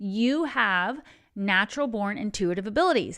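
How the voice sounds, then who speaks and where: In a very clean recording with a silent background, a woman speaks with lively intonation and a slight Texan accent. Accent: Texas accent, slight. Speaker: tarot reader and spiritual coach. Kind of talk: tarot reading. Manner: casual, conversational.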